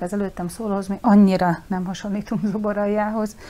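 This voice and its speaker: A voice with a dark, mellow tone and monotone, flat intonation moves at a very fast pace in a very clean recording with a silent background. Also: woman. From southern Slovakia, Hungarian minority. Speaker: school principal. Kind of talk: studio interview. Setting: studio.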